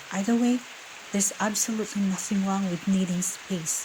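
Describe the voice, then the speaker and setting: Noticeable background noise surrounds a woman speaking at a medium pitch. Her pace is moderate and her intonation fairly even. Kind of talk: whispered ASMR emotional-support talk. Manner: whispered, soft-spoken, gentle, calming.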